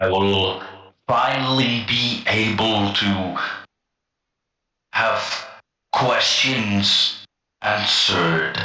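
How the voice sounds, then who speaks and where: A put-on character voice from a man at medium pitch, very slow with long, frequent pauses and a slight echo. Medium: actual play.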